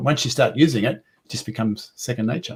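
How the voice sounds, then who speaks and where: A man mumbles at a fairly quick pace. His voice is somewhat breathy. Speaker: accessibility specialist; guest. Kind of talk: webinar discussion. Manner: mumbling; halting, repeats words.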